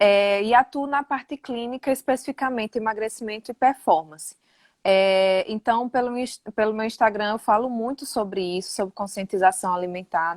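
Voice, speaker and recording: A woman with a northeastern Brazilian accent speaks at a moderate pace, her pitch fairly high with ordinary variation. The sound is dry and close, with no echo. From Northeast Brazil, interior of Rio Grande do Norte. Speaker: nutritionist. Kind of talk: casual live interview.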